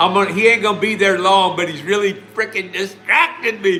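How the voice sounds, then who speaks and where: A man's raised, projected voice amid noticeable background noise. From US Midwest, Ohio (Lima). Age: 60s. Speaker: online business promoter. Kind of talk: live stream chat. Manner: casual, long-winded.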